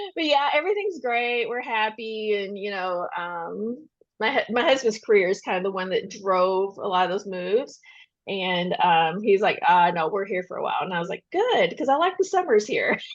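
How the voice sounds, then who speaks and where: Against a quiet background, a woman talks at a moderate pace and fairly high pitch with lively intonation. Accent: Kentucky. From Western Kentucky. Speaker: debut novelist. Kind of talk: podcast interview. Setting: podcast recording. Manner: casual, chatty.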